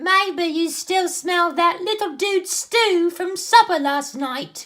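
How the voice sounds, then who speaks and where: In a put-on character voice, a man talks at an extremely high pitch and a fairly slow pace. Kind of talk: children's story read-aloud.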